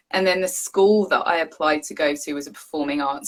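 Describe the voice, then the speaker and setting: A woman with an English accent and a very deep, low pitch. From England, Southeast London. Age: adult. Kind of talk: casual chat.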